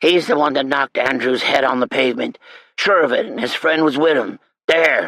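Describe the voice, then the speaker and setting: A man puts on a raspy character voice at a fairly high pitch, speaking at a moderate pace. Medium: read story. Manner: folksy, ungrammatical.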